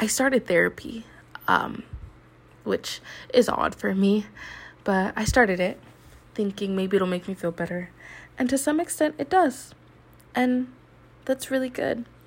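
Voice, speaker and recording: Somewhat breathy and fairly high-pitched, a woman speaks at a fairly slow pace with long, frequent pauses. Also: lively intonation. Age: 20s. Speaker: college student podcaster. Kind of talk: personal monologue. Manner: halting, with fillers.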